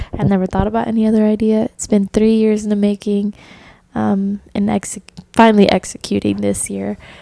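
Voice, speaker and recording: A woman at a medium pitch and moderate pace, monotone and flat, with a dry, close sound, no echo and noticeable background noise. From US South, Orlando, Florida. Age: 20s. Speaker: podcast host. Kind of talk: personal testimony monologue. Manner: casual, filler-heavy (um).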